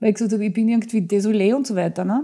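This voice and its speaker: A woman speaks in a dark, mellow tone that is somewhat breathy. The background is quiet. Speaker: author, actress, dubbing voice and TV presenter; actress, TV presenter. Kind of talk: interview answer, anecdote telling. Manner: lively, humorous. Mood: lively, amused anecdote telling. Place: studio.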